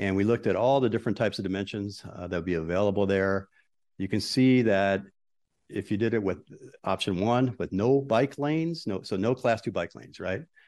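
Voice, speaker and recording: A man with a fairly low pitch speaks in a normal speaking voice. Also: ordinary pitch variation. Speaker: transportation consultant. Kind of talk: presentation. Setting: council chambers.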